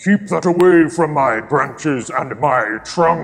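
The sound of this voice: A man uses a booming, put-on character voice at a fairly high pitch. He speaks at a fairly slow pace over light background noise.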